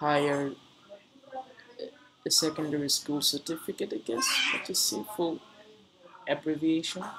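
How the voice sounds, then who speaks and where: A man with a Bengali accent, fairly high-pitched and fairly even in intonation, at a moderate pace with long, frequent pauses, over noticeable background noise. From Bangladesh, Dhaka. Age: 20s. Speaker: streamer. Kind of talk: casual chat. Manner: halting.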